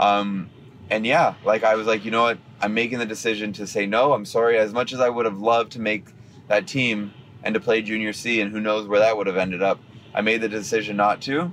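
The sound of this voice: Speaking at a fairly quick pace, a man has a fairly low pitch, a fairly bright tone and little pitch movement.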